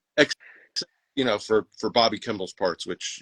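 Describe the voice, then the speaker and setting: An ordinary speaking voice from a man, fairly low in pitch with ordinary variation, in a dry, close sound with no echo. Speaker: musician in a cover band. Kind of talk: livestream interview.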